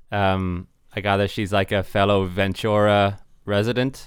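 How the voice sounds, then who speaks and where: A man speaks very slowly with a Dublin accent. His pitch sits fairly low. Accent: Irish (Dublin). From Ireland, Dublin. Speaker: podcast host. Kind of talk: casual interview chat. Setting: video call.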